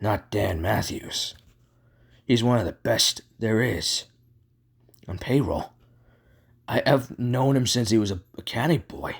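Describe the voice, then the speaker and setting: A man puts on a raspy character voice at a medium pitch with lively intonation. He moves at a fairly slow pace with long, frequent pauses. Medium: voice reel.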